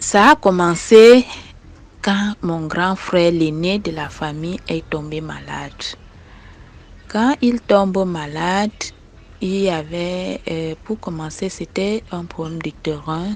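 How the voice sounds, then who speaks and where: Against noticeable background noise, a woman with a fairly low pitch and ordinary pitch variation speaks very slowly, pausing long and often, her loudness swinging widely. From eastern Cameroon, Maka people. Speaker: listener sharing a personal story. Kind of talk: personal testimony. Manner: halting, hesitant with fillers.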